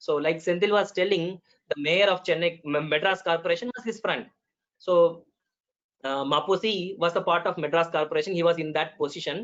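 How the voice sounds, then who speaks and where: In a Tamil accent, the speaker talks at a fairly quick pace. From Tamil Nadu, India. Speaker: medical doctor, panelist. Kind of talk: web conference talk. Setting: video call. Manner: hesitant, with fillers.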